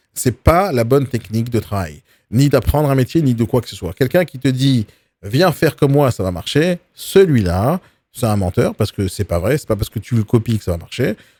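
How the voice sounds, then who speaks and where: A man's medium-pitched, dark, mellow voice with very wide pitch swings and big swings in loudness, in a dry, close sound with no echo, on a very clean recording with a silent background. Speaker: real estate coach. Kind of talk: live video training talk. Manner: fast; aggressive, forceful delivery.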